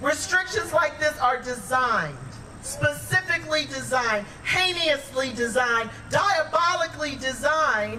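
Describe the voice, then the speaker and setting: Someone talks at a fairly slow pace with an American accent over noticeable background noise. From Detroit, US Midwest. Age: 50s. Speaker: activist speaker. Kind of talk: rally speech. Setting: outdoor rally. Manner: loud, impassioned.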